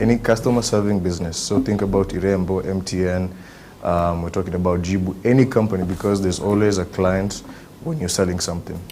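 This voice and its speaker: Amid noticeable background noise, a man with a very deep, low pitch speaks at a very fast pace with fairly even intonation. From Kenya. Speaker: customer experience consultant. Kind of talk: workshop talk to students. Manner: interactive, engaging.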